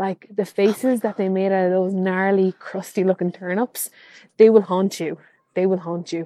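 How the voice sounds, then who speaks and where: The voice keeps a monotone, flat intonation and a dark, mellow tone at a moderate pace, in a dry, close sound with no echo. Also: woman, medium pitch for a woman. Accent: Irish. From Ireland, Kilkenny. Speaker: archaeologist, listener. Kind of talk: storytelling voice message. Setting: recorded voice message.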